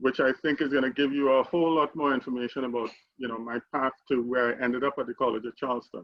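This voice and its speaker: A man speaks with a Trinidadian accent. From Trinidad and Tobago. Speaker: alumni panelist, tech CEO. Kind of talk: panel discussion.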